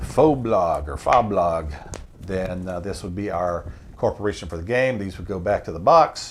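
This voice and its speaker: A fairly low-pitched man in an unremarkable speaking voice, with lively intonation, big swings in loudness and a moderate pace. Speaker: board game channel host. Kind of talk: tutorial.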